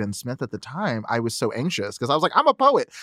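The speech runs at a very fast pace with lively intonation. The recording is very clean, with a silent background and a dry, close sound with no echo. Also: man. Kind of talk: casual chat. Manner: animated.

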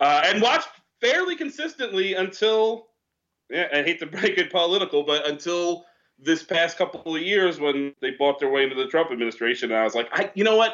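A man with an American accent speaks at a fairly quick pace in a high pitch, his intonation lively and his loudness very even. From upstate New York. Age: 40s. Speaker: comedian. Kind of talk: casual chat. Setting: studio.

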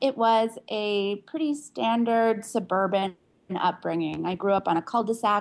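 An ordinary speaking voice from a woman with an American accent, medium pitch, ordinary pitch variation and a fairly slow pace. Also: quiet background. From Pittsburgh, Pennsylvania, US. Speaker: author, memoirist. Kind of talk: interview.

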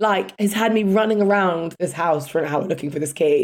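A woman speaks with a London accent. Her pace is fairly slow. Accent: British, London. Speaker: podcast host. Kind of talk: casual chat.

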